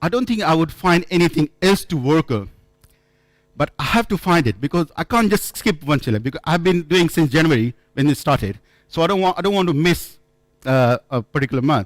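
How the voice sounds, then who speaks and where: Someone with a non-native accent talks at a fairly quick pace with lively intonation and very even loudness, the sound dry and close with no echo. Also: man, fairly high pitch for a man. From India. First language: not English. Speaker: conference speaker. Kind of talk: conference talk. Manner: halting.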